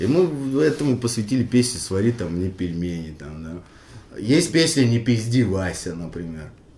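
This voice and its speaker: A somewhat breathy man at a fairly slow pace, medium in pitch, dark and mellow in tone, with very wide pitch swings and big swings in loudness. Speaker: rapper, member of a hip-hop crew. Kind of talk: casual interview, reminiscing. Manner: halting, full of fillers and restarts.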